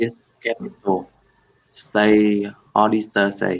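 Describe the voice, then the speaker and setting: With a Vietnamese accent, a man speaks very slowly in a fairly low pitch and a flat monotone. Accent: Vietnamese English, fairly developed. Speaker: English learner. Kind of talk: reading aloud. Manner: halting.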